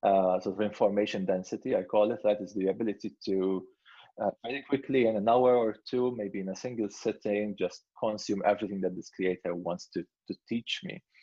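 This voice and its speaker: Here is a man with a fairly low pitch. He has a non-native accent. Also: ordinary pitch variation. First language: not English. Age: 30s. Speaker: product head and creator. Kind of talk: Q&A interview. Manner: halting, many fillers and repetitions.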